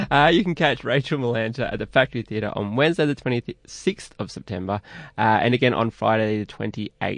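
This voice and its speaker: Speaking with an Australian accent, a man at medium pitch moves at a fairly quick pace with ordinary pitch variation against a quiet background. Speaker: radio host. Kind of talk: radio interview. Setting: studio.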